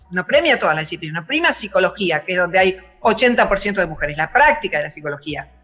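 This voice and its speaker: With music in the background, a woman in a Rioplatense accent speaks with very wide pitch swings. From Argentina. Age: 60s. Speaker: philosopher. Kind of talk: interview.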